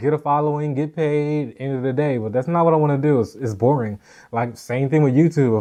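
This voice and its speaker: An unremarkable speaking voice from a man, fairly high in pitch with ordinary variation, at a fairly quick pace against a quiet background. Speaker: podcast host and vlogger. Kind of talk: casual chat.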